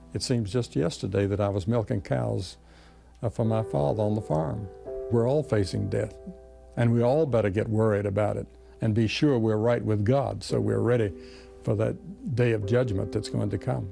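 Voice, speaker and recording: A man talks with lively intonation in a fairly low voice. Music plays clearly in the background. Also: moderate pace. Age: middle-aged. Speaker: evangelist. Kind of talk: interview answer. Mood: reflective, earnest. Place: home room.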